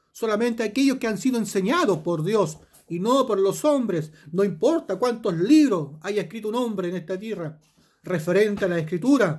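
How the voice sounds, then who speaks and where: The man keeps a moderate pace. Behind him, the background is quiet. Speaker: preacher. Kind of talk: sermon with scripture reading, rhetorical questions to the listener and closing prayer. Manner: earnest, pastoral, exhorting the listener directly. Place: home room. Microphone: phone near.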